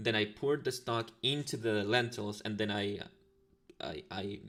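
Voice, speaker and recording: A man with a Latin American accent, fairly low in pitch, at a moderate pace. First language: Spanish. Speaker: ASMR streamer. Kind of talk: casual livestream chat. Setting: livestream. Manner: halting, many fillers. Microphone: new better microphone.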